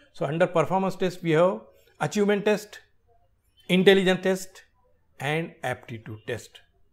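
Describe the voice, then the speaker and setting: Against a quiet background, a man with a high voice and lively intonation talks at a moderate pace, with long, frequent pauses. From India. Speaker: exam prep educator. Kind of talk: tutorial.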